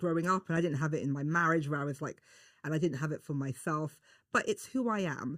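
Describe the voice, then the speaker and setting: Speaking very fast, a woman with a London accent has a very deep, low pitch. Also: ordinary pitch variation, very clean recording, silent background. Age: 40s. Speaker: beauty journalist and broadcaster. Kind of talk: casual chat. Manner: animated.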